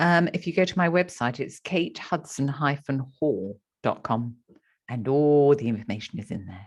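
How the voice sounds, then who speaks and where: Against a quiet background, the speaker uses lively intonation at a fairly slow pace. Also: woman, very deep, low pitch for a woman. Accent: British. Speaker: podcast host.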